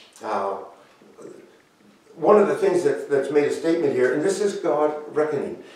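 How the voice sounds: A man speaks at a moderate pace with big pitch swings and a dark, mellow tone, and strong room echo surrounds him. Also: fairly high pitch for a man.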